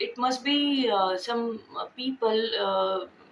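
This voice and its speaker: With an Indian accent, a woman speaks very slowly in a high pitch with ordinary pitch variation. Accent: Indian (Marathi) English. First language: Marathi. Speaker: vlogger. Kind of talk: casual vlog talk. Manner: halting, many fillers.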